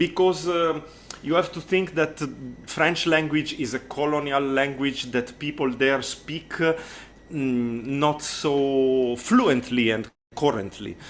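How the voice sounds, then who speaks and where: A man with an Italian accent speaks at a very slow pace and a fairly high pitch, with ordinary pitch variation. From Italy. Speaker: accordionist and music tutor. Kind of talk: interview. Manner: halting, with many fillers and repeated words.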